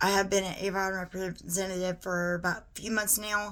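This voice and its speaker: In a Southern US accent, a woman at medium pitch talks at a fairly quick pace with monotone, flat intonation. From US South (Georgia). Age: 30s. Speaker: beauty vlogger. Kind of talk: tutorial. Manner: casual, conversational.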